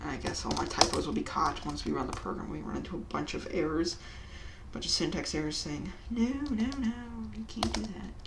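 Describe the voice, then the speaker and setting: The voice is quiet against noticeable background noise. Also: fairly quick pace. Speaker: programming tutorial youtuber. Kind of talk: tutorial. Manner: uneven volume.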